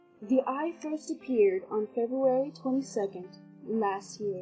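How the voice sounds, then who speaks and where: Music plays behind a woman speaking at a fairly slow pace. Her pitch swings very widely. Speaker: amateur story narrator. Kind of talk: read story.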